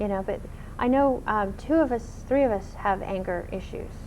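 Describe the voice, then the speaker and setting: In a room with audible echo, a woman speaks at a medium pitch and moderate pace with lively intonation. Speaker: talk show guest. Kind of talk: interview. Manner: loud.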